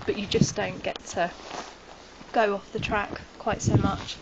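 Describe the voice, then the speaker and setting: With noticeable background noise behind her, a woman talks at a medium pitch in a monotone, flat intonation. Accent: British. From United Kingdom. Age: 20s. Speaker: backpacker. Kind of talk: interview answer.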